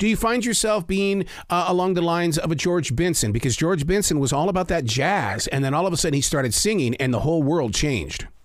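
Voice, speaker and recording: Amid audible room echo, a man with an American accent rushes along at a very fast pace with hardly any pauses, his high voice lively in intonation and very even in loudness. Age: 60s. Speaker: podcast host. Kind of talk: interview.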